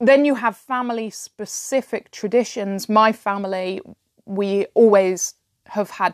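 Speech comes at a fairly slow pace with fairly even intonation and big swings in loudness, dry and close with no echo over a quiet background. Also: woman. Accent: British. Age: 30s. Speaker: fantasy writer and podcaster. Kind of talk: solo podcast talk on writing.

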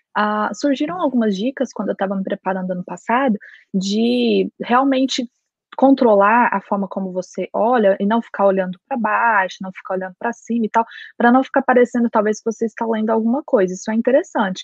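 At a fairly quick pace, a woman with a normal speaking voice talks at a fairly high pitch with ordinary pitch variation. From Brazil, Goiás. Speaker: lawyer and master's student. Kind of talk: casual chat.

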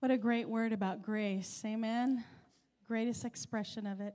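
A woman with an ordinary speaking voice, fairly high in pitch, at a fairly slow pace. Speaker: church announcer. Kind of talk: church announcements. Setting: church.

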